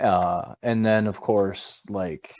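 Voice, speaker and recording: A man speaks with a Minnesota accent and a very deep, low pitch. The background is quiet. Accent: Minnesotan American. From Minnesota, US. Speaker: gamer, podcast co-host. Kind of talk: casual chat.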